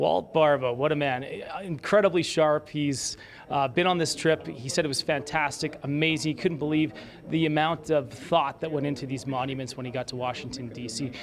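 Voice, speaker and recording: Light background noise sits under a man who talks at a moderate pace, his pitch varying in an ordinary way. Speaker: TV news reporter. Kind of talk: live news report. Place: hall. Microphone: handheld.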